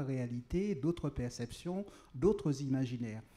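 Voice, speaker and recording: Lively in intonation, a man with a fairly high pitch speaks at a moderate pace, somewhat breathy and dark, mellow in tone. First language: Creole (speaking French). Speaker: writer. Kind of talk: panel discussion. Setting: outdoor tent at public event.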